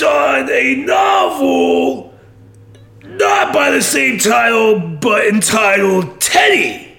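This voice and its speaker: A man performs a put-on character voice. His tone is enthusiastic. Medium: game stream. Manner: rambling, dopey, enthusiastic.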